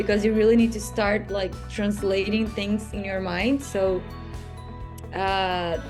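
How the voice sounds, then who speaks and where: With music in the background, a woman speaks at a fairly slow pace in monotone, flat intonation. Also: medium pitch for a woman. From Brazil. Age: 20s. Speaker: master's student and partnerships manager. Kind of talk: interview answer.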